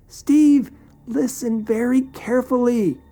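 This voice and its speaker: A high-pitched, female-sounding put-on character voice at a fairly slow pace. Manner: serious, urgent.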